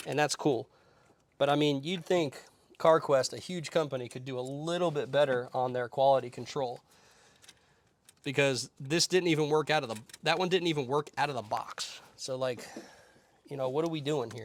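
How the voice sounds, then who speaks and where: The speaking pace is moderate. Long pauses come often. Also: man, fairly high pitch for a man, ordinary pitch variation. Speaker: mobile mechanic. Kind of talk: casual rant while working. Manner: rambling, going in circles.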